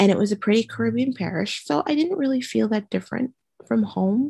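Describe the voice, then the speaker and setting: In an American accent, a woman talks at a fairly quick pace in a dark, mellow, somewhat breathy tone. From Trinidad and Tobago. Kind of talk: interview testimony. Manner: animated.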